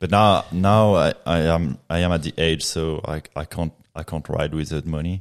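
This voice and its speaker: A man's very deep, low voice with a French accent, fairly even intonation and hardly any pauses, on a very clean recording with a silent background. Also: moderate pace. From Reunion Island. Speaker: professional mountain biker. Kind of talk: casual podcast interview. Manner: laid back, chilled.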